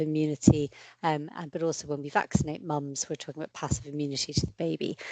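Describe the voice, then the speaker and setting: With an Irish accent, a woman talks at a very fast pace in a very deep, low pitch, her voice dry and close with no echo against a quiet background. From Ireland. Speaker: paediatric infectious diseases consultant. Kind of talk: lecture.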